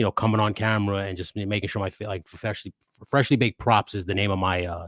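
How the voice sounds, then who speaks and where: Fairly low in pitch, a man with a Queens accent talks at a very fast pace with fairly even intonation, in a very clean recording with a silent background and a dry, close sound with no echo. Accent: New York Queens. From New York, Queens. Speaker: toy photographer and YouTuber. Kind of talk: casual chat. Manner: halting, many false starts.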